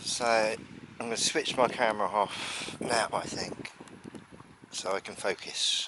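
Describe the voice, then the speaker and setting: There is noticeable background noise. A man with a southern English accent speaks at a fairly slow pace. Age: 60s. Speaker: birdwatching vlogger. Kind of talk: casual vlog narration. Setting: outdoors.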